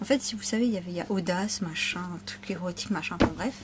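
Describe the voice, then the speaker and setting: A woman speaks with ordinary pitch variation. Noticeable background noise sits behind her. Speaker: shopping haul vlogger. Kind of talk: casual vlog haul.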